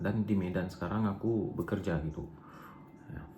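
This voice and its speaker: A man in an Aceh accent speaks at a moderate pace, his tone dark and mellow and somewhat breathy. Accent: Acehnese. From Aceh, Indonesia. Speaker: vlogger. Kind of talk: personal storytelling vlog. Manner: casual, hesitant. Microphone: poor recording quality.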